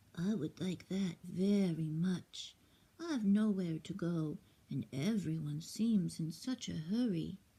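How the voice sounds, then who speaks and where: Using a put-on character voice, a woman talks at a fairly slow pace with a fairly low pitch. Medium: read story. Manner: polite, earnest.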